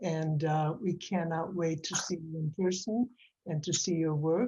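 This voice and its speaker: The tone is dark and mellow, somewhat breathy. It moves at a moderate pace with fairly even intonation. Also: woman. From Canada. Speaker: audience member, relative. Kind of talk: casual thanks.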